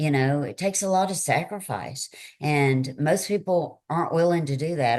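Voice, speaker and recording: Against a quiet background, a woman with a Southern US accent talks at a moderate pace with ordinary pitch variation. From Tennessee, US South. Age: 60s. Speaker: author and speaker. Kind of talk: interview conversation.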